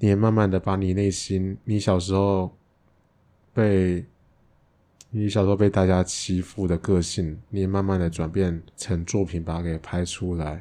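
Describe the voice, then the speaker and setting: Against a quiet background, a man speaks at a fairly slow pace in a very deep, low pitch, his dark, mellow tone held to fairly even intonation. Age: 30s. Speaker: crossdresser and father. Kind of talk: interview.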